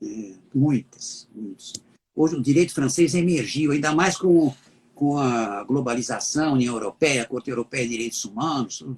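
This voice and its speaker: A man speaks at a moderate pace with a fairly high pitch and a somewhat breathy voice. The sound is dry and close, with no echo. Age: 70s. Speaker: law professor. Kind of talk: interview.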